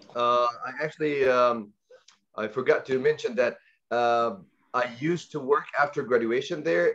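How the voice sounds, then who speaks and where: A man speaks with an Arabic accent. He goes at a fairly slow pace against a quiet background. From Egypt, raised in Saudi Arabia. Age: 20s. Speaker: guest speaker on language learning. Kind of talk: online presentation. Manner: halting, many fillers and repetitions.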